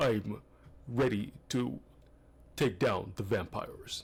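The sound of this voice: Fairly slow delivery in a put-on character voice from a man, medium in pitch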